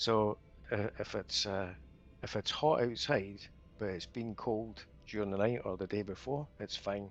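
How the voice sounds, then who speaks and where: A man with a fairly low pitch speaks at a fairly slow pace and with fairly even intonation while music plays in the background. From Scotland. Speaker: gamer. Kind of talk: casual chat. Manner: halting.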